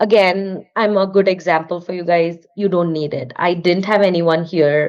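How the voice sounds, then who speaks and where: Moderate-paced speech from a woman in an Indian accent, her intonation fairly even. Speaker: artist and studio owner. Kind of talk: podcast interview.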